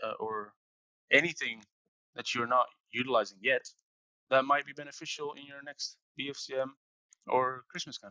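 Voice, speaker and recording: This man speaks with a Dutch accent at a moderate pace. His medium-pitched voice has fairly even intonation. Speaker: marketing operations professional. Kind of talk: interview. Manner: halting.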